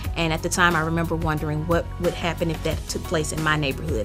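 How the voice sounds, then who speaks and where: Music plays in the background as a woman speaks with a Mississippi accent. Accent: Mississippi Southern US. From Jackson, Mississippi. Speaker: author. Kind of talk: author interview to camera.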